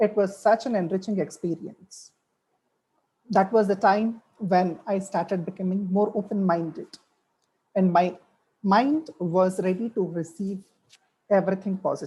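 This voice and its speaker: Speaking at a fairly slow pace with long, frequent pauses, a woman uses a somewhat breathy voice of medium pitch and a dark, mellow tone. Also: ordinary pitch variation. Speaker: webinar speaker, French language professional. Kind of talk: webinar talk.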